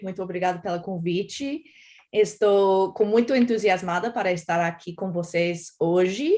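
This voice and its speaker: Speaking with an American accent, a woman has a medium pitch and ordinary pitch variation at a fairly slow pace. The recording is very clean, with a silent background. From United States. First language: English (speaking Portuguese). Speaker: professor of global health. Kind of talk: lecture. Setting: academic symposium, in person and streamed.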